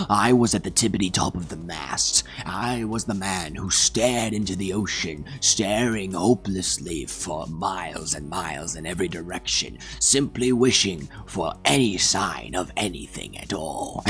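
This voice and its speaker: A man performs a put-on character voice at a moderate pace over clear background noise. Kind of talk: mock-epic comic storytelling. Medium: solo performance. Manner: rambling, digressive, deadpan.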